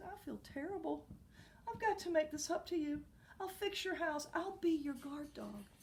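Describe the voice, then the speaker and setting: A woman's put-on character voice at an extremely high pitch, with clear background noise. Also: moderate pace. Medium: read story. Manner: bubbly, talkative.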